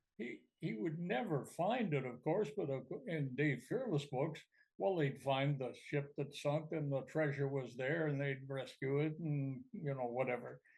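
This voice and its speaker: A man talks in a somewhat breathy voice at a fairly high pitch. His pace is fairly slow. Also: ordinary pitch variation. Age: 80s+. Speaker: retired hockey commentator. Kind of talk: podcast interview answer. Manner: hesitant, anecdotal.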